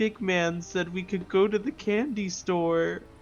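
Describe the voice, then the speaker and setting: A man puts on a whiny character voice, pitched high, with ordinary pitch variation and a whiny tone. He goes at a fairly slow pace over clear background noise. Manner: whiny, nearly in tears.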